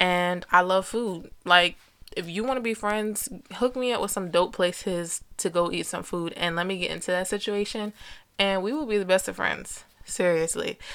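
A woman with an American accent and an ordinary speaking voice, medium in pitch, with ordinary pitch variation at a moderate pace. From New Jersey. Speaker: podcast host. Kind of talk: solo motivational podcast monologue.

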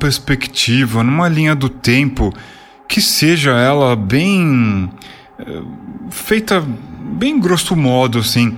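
A man speaks very slowly at a fairly high pitch, with long, frequent pauses and very wide pitch swings. His loudness stays very even over noticeable background noise. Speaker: podcast host. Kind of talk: casual interview. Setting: online call recorded on Discord.

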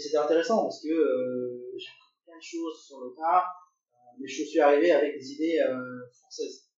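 A man speaks at a moderate pace, his loudness swinging widely amid audible room echo. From France. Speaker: engineer. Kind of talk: interview. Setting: at the host's home. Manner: halting.

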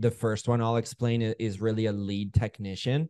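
Against a quiet background, a man with a Canadian accent speaks at a moderate pace in a fairly low, monotone, flat voice, the sound dry and close with no echo. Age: 30s. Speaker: home service business owner and coach. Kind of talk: casual interview.

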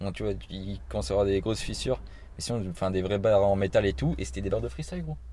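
Very deep and low in pitch, a man talks at a very fast pace in a dark, mellow tone with vocal fry and very wide pitch swings. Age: 20s. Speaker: podcast host. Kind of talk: casual interview. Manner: stammering.

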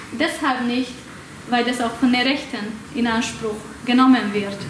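A woman talks at a fairly slow pace with a Hungarian accent and fairly even intonation. Noticeable background noise and audible room echo surround her. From Hungary. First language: Hungarian (speaking German). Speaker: academic speaker. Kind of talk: lecture. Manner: halting, many fillers.

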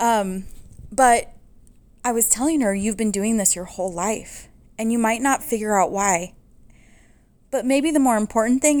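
Speaking at a moderate pace with long, frequent pauses, a woman uses a fairly high pitch and ordinary pitch variation in a very clean recording with a silent background. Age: 40s. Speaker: podcast host and small business owner. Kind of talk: casual monologue.

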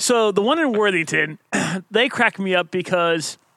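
A man's high, raised and projected voice with an American accent, bright and sharp in tone, with lively intonation at a fairly slow pace, in a dry, close sound with no echo. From Ohio. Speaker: podcast co-host, runner. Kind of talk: casual chat.

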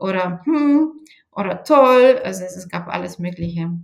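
This speaker talks at a fairly slow pace with a Bulgarian accent. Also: woman. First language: Bulgarian (speaking German). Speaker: sales manager. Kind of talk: interview. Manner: hesitant with fillers.

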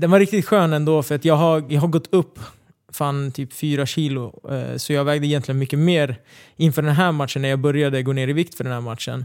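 An unremarkable speaking voice from a man, fairly high in pitch with fairly even intonation, on a very clean recording with a silent background. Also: fairly quick pace. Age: 20s. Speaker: MMA fighter. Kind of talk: casual chat. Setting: studio.

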